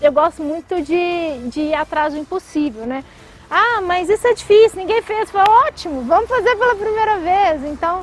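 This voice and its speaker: Over music in the background, a woman with a Minas Gerais accent speaks at a moderate pace with extremely high pitch and lively intonation, the sound dry and close with no echo. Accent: mineiro. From Brazil, Minas Gerais (Belo Horizonte). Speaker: tech company CEO. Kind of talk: interview. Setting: outdoors by a lake.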